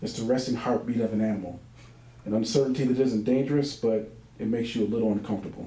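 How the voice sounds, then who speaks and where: A man at a medium pitch, talking at a very fast pace, with audible room echo. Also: fairly even intonation. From Michigan. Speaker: author. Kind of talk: reading aloud. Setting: bookstore reading with audience.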